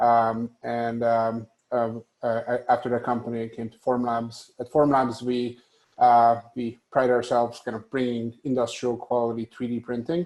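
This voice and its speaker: A man with a Hungarian accent at medium pitch and a moderate pace, monotone and flat in intonation, with big swings in loudness. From Hungary. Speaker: tech company executive. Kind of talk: panel discussion. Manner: hesitant, many fillers.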